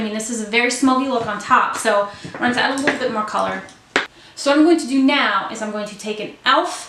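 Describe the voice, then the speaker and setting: Mumbling from a woman with a fairly high pitch and fairly even intonation, plus audible room echo and noticeable background noise. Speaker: beauty vlogger. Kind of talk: tutorial.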